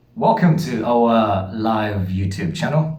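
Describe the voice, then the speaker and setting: A man's medium-pitched voice with very wide pitch swings, in audible room echo. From Uganda. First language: Lusoga. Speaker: channel host. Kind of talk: casual chat.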